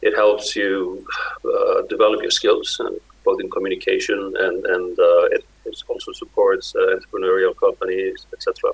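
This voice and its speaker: The speaker talks at a moderate pace with an Icelandic accent. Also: man. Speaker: Arctic organization director. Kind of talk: conference speech. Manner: halting.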